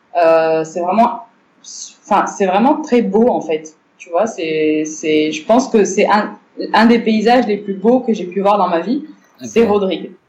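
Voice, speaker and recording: A woman with an unremarkable speaking voice talks at a fairly slow pace and a medium pitch. Her intonation is lively, and her loudness swings widely. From Morocco. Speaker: cultural centre director. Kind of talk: interview.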